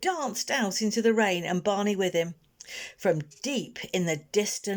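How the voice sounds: The speaker has a natural reading voice with ordinary pitch variation.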